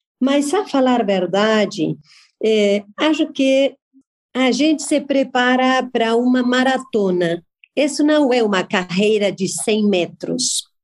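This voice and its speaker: A woman with a Spanish accent, high-pitched and lively in intonation, very slow, with very even loudness. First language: Spanish (speaking Portuguese). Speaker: journalist and business event organizer. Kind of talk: interview.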